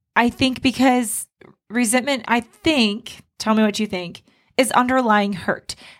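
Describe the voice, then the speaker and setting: A woman talks in a normal speaking voice at a fairly slow pace. Her pitch is fairly high and her intonation fairly even. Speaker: couples counselor. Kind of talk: casual banter between co-hosts.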